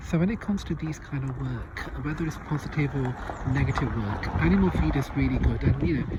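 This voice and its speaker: A man talks at a very fast pace. The audio carries audible room echo and noticeable background noise. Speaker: spell practitioner and video host. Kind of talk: casual vlog. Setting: outdoors on a farm. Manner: hesitant with fillers.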